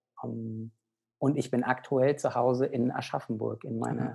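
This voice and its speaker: Over music in the background, a man at medium pitch speaks at a fairly slow pace. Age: 30s. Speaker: pediatrician and medical director of a nutrition organization. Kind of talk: interview conversation. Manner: hesitant with many fillers.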